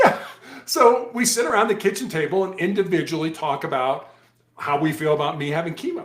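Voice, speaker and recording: A man speaks at a high pitch. Audible room echo is present. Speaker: former police hostage negotiator, cancer survivor, author. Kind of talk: interview. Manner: fast.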